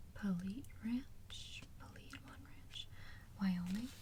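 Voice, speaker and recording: A woman is soft-spoken. Her pace is very slow. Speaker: ASMR creator. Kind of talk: ASMR soft-spoken reading and rambling.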